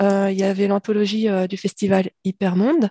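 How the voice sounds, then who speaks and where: This woman's voice has a dark, mellow tone. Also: quiet background. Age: 50s. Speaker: science fiction author. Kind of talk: interview.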